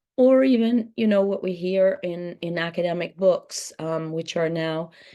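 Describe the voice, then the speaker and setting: A woman's fairly low, dark, mellow voice at a fairly slow pace, with ordinary pitch variation and a quiet background. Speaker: author and interviewer. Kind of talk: book talk conversation. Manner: halting, many fillers.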